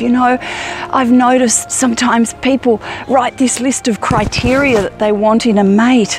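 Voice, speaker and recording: A woman's high-pitched voice at a fairly slow pace with ordinary pitch variation, music in the background. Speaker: self-help vlogger. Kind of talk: inspirational vlog monologue. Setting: outdoors in a forest.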